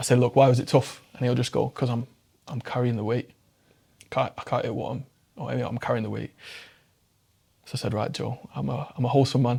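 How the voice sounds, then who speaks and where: A man with a dark, mellow tone and vocal fry speaks at a fairly quick pace. He takes long, frequent pauses. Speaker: mental health public speaker. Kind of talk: casual interview chat. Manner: fast; animated.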